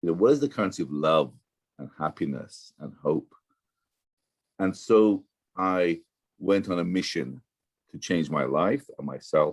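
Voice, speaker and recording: A man's very deep, low voice with vocal fry, very wide pitch swings, big swings in loudness, a fairly slow pace and long, frequent pauses. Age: 60s. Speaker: professor, blockchain entrepreneur. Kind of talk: interview. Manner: halting, many repetitions.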